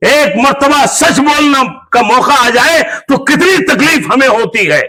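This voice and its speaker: In a room with audible echo, a man uses a raised, projected voice of extremely high pitch, his loudness very even and his pitch variation ordinary. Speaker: imam giving Friday sermon. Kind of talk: sermon. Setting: mosque.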